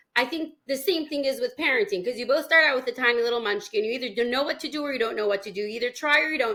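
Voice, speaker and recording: A loud woman talks very fast with hardly any pauses, her high voice bright and sharp. Her intonation is lively and her tone animated. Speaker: parenting coach. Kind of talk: podcast interview.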